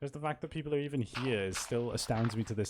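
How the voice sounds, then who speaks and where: A man in a Welsh accent talks at a very fast pace. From Wales. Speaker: streamer. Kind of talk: casual live gaming stream chat.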